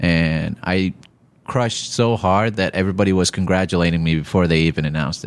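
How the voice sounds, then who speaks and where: At a fairly quick pace, a man with a very deep, low voice speaks with fairly even intonation. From Iraq. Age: 30s. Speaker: stand-up comedian. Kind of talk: casual interview chat.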